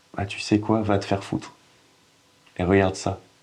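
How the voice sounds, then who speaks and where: Noticeable background noise sits behind a man talking at a moderate pace with a fairly low pitch. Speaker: actor. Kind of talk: acting demo monologue, dramatic performance of a scene. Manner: halting, hesitant with many pauses and restarts, emotional.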